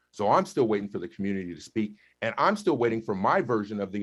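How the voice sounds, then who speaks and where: A man talks at a very fast pace in an animated tone. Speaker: school board director. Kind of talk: heated debate. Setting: video call. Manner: loud.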